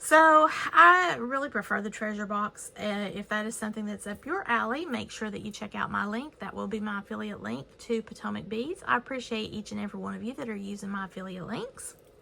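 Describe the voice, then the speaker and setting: A woman talks fairly quickly with lively intonation and hardly any pauses. Noticeable background noise runs underneath. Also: medium pitch for a woman. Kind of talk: haul and show-and-tell video. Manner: casual, chatty.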